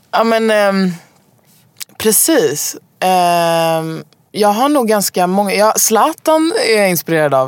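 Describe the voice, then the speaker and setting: A woman at medium pitch, very slow pace, very wide pitch swings and very even loudness. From Stockholm, Sweden. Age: 20s. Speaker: singer-songwriter. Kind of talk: casual interview. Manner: halting, many fillers.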